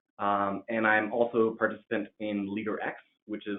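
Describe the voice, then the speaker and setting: A man speaks with a Californian accent at a fairly low pitch. His intonation is monotone and flat. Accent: General American (Californian). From California, US. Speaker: MBA student. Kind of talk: webinar self-introduction. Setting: video call.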